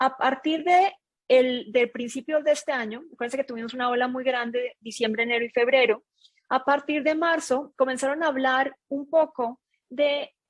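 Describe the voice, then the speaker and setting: A woman with a non-native accent, high in pitch, at a moderate pace with fairly even intonation. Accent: noticeable foreign accent in Mexico. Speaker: data analytics consultant. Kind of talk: webinar presentation.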